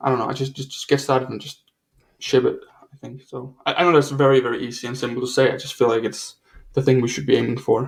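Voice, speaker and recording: Talking very fast at a medium pitch, a man has vocal fry, big swings in loudness and monotone, flat intonation. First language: not English. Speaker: author and entrepreneur. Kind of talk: interview. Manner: halting, many repetitions.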